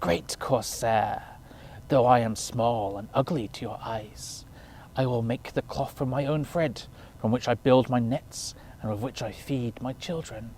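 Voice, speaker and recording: A man uses a hissing, put-on character voice at a medium pitch and a moderate pace. Clear background noise can be heard. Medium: read story.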